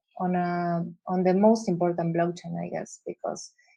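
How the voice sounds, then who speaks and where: A woman with an Argentine accent, fairly low in pitch, with a dark, mellow tone, fairly slow pace and monotone, flat intonation. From Argentina. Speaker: visual artist. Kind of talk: interview. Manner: halting, many fillers and repeats.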